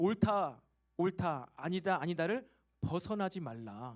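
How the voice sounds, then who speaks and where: This man speaks with a high pitch. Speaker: pastor. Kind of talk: sermon. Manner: fast.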